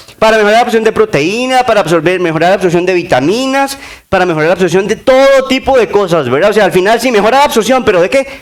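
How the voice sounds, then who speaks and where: At a very fast pace, a man with a high pitch uses lively intonation and very even loudness over noticeable background noise. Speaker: sports nutrition speaker. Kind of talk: conference talk.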